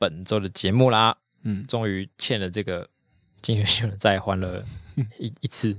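Recorded very cleanly against a silent background with a dry, close sound and no echo, a man speaks fairly slowly in a fairly low pitch with ordinary pitch variation. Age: 30s. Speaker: podcast co-host. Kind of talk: casual chat.

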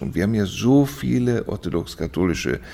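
Vocal fry at a moderate pace. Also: man. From Germany, Düsseldorf. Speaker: orthodox bishop. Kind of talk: interview. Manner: hesitant, many fillers.

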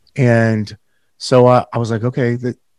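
Close, dry sound with no echo surrounds this man's voice. The background is quiet. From Northern California. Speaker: real estate team leader and podcast host. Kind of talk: casual interview.

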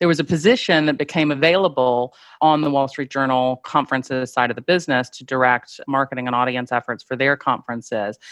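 Talking at a very fast pace, a woman with an American accent has a very deep, low pitch and ordinary pitch variation, in a dry, close sound with no echo and a quiet background. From US South, Greenville, South Carolina. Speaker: media events executive. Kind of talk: interview.

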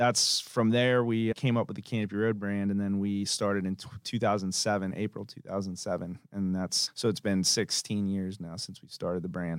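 The recording is very clean, with a silent background. A man with a plain, everyday voice and an American accent talks fairly quickly at a fairly low pitch with ordinary pitch variation. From Tampa, Florida, US. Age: 40s. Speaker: restaurant founder and CEO. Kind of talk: casual interview. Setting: studio.

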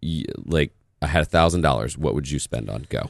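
The voice has vocal fry. It keeps a moderate pace. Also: man. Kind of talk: casual interview chat.

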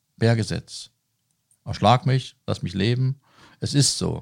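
A man speaks in a somewhat breathy voice. The sound is dry and close, with no echo. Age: 50s. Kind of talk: interview. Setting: on site at a leisure centre.

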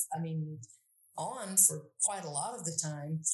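A woman speaks at a fairly low pitch, somewhat breathy. Her intonation is lively and her pace moderate. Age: 60s. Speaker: Latin educator. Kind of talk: interview. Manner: halting.

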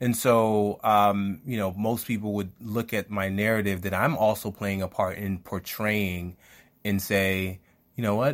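A man speaks at a fairly slow pace in a fairly low pitch, with an unremarkable speaking voice. The recording is very clean, with a silent background. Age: 40s. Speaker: podcast co-host. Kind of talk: casual chat.

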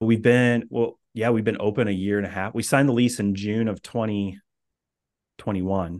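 Here is a man with a plain, everyday voice and an American accent, pitched fairly low. He talks at a moderate pace with fairly even intonation. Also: quiet background. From US Midwest (Indiana). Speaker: coffee shop and coworking space owner. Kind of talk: interview.

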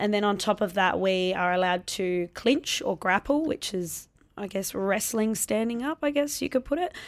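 A woman with an Australian accent talks at a moderate pace with lively intonation. The recording is very clean, with a silent background. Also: medium pitch for a woman. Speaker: Muay Thai fighter and gym owner. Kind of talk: interview conversation.

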